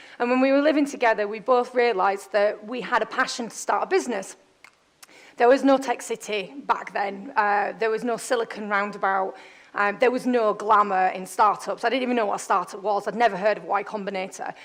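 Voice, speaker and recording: With a Yorkshire accent, a woman speaks fairly quickly at a fairly high pitch with ordinary pitch variation. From northern England, Bradford. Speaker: startup founder and CEO. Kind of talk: conference talk. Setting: stage with audience. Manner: loud; fast.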